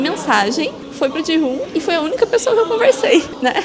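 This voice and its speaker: A woman talks at a fairly quick pace over noticeable background noise, with audible room echo. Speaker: vlogger. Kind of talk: casual storytelling.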